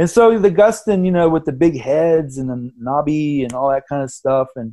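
A man's dark, mellow tone comes with lively intonation. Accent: American. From grew up abroad and in the US (Indonesia, Venezuela, Massachusetts boarding school). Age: 50s. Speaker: artist and printmaker. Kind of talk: casual interview chat.

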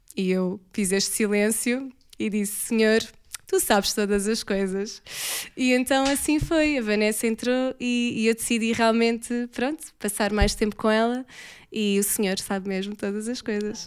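A woman speaks in a normal speaking voice at a fairly slow pace. Her intonation is fairly even, and the recording is very clean with a silent background. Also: fairly high pitch for a woman. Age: 30s. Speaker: church member. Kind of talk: casual chat.

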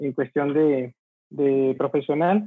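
Fairly slow male speech with fairly level intonation. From Mexico, Monterrey. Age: 40s. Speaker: transport logistics entrepreneur. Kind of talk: interview.

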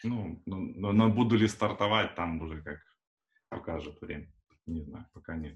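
A man with a very deep, low pitch sounds somewhat breathy. His loudness swings widely, and he leaves long, frequent pauses. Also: ordinary pitch variation, moderate pace. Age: 30s. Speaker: Android developer. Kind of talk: casual chat. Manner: hesitant with fillers.

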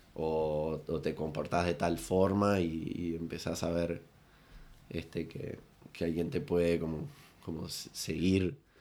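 A man's very deep, low voice, dark and mellow in tone, with fairly even intonation at a very slow pace. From Uruguay, Rocha. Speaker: comedian and impressionist. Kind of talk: casual chat. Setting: studio, in person.

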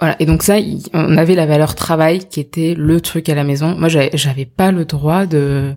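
A woman's very deep, low voice with a dark, mellow tone. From France, of Indian descent. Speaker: startup co-founder. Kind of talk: interview. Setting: host's home.

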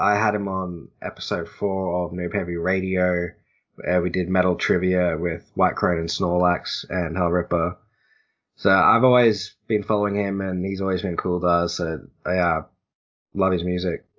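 The speaker has an Australian accent and a moderate pace. The intonation stays monotone and flat. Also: man, very deep, low pitch for a man. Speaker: podcast host. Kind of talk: casual chat. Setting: call.

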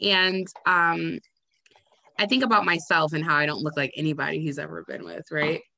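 A woman's very deep, low voice with vocal fry, a bright, sharp and animated tone, and long, frequent pauses. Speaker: podcast host. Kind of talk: casual chat. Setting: video call from home. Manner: animated, laughing and profane; rambling, halting.

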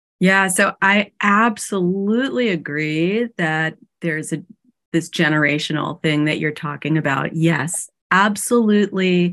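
In a normal speaking voice, a woman with a fairly low pitch talks with ordinary pitch variation over a quiet background. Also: fairly slow pace. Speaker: podcast host, psychotherapist and coach. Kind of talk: podcast interview.

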